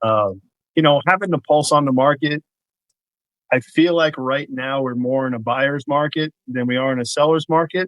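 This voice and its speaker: Here a man talks with a New York accent. His pace is moderate. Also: fairly high pitch for a man, ordinary pitch variation. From New York, Queens. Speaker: real estate broker. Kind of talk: casual podcast interview.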